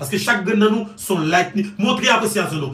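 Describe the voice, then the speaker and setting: With a raised, projected voice, a man speaks at a high pitch with lively intonation and audible room echo. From Haiti. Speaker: online news commentator. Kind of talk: political commentary monologue. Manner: animated. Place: home room. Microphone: phone near.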